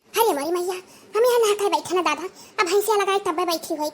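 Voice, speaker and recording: In a cartoonish character voice, a woman rattles along at a very fast pace with an extremely high pitch and ordinary pitch variation. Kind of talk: comic cartoon dialogue. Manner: rapid, complaining.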